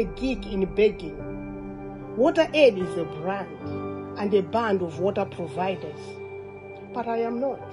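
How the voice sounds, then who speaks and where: A woman speaks very slowly, with music playing behind her. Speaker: poet, widow. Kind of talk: poetry reading at a charity fundraising event. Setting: live event, speaking to an audience.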